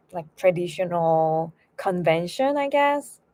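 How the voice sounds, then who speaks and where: Speaking with a Korean accent, a woman has a dark, mellow tone, medium pitch and ordinary pitch variation. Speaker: violin teacher and graduate student. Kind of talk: casual livestream chat. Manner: halting.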